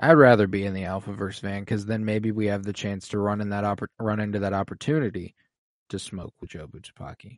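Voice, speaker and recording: This man speaks at a very fast pace, his fairly low voice moving in big swings of loudness over a fairly even intonation. The sound is dry and close, with no echo. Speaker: podcast co-host. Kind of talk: casual chat.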